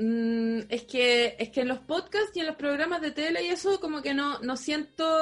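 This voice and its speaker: A woman with a Chilean accent speaks fairly slowly in a high voice with lively intonation. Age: 30s. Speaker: comedian. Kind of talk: casual chat.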